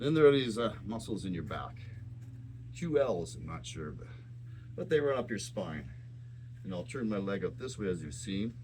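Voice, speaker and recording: A man's fairly low voice at a moderate pace, with lively intonation, big swings in loudness, long, frequent pauses and audible room echo. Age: 60s. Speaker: fitness channel host. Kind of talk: exercise tutorial.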